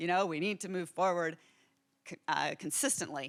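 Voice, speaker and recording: A woman with an American accent speaks at medium pitch. The recording is very clean, with a silent background. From New York City. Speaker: professor. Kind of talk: keynote address. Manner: fast.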